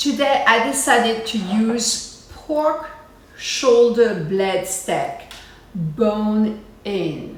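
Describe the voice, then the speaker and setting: A woman's fairly high voice with a French accent and lively intonation, at a very slow pace, with audible room echo and noticeable background noise. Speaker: cooking show host. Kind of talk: cooking tutorial. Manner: casual, chatty with fillers.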